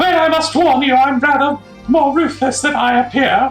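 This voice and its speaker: A high-pitched, put-on character voice speaks at a moderate pace over clear music in the background. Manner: warning, sly.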